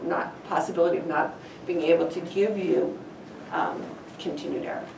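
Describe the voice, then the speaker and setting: There is audible room echo as a woman speaks. Background noise is noticeable too. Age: 60s. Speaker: university statistics lecturer. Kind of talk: lecture. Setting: lecture hall with students.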